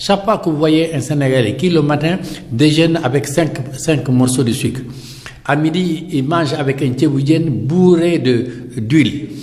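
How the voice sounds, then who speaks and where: Fairly slow speech with long, frequent pauses, very even loudness and ordinary pitch variation, over audible room echo and noticeable background noise. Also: man, fairly high pitch for a man. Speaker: dialysis patient and activist. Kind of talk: interview. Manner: animated.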